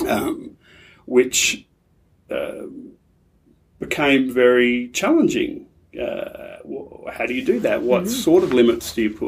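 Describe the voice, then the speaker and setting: A man with an Australian accent, at a fairly slow pace, with long, frequent pauses. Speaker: pastor and aid charity relationship manager. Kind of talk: interview conversation.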